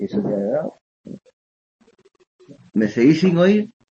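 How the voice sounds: A man talks at a fairly slow pace with big pitch swings. His dark, mellow tone has a husky, rough edge.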